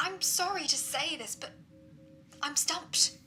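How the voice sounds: A put-on character voice moves at a slow pace with a bright, sharp tone and ordinary pitch variation. Faint music plays in the background. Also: woman, high pitch for a woman.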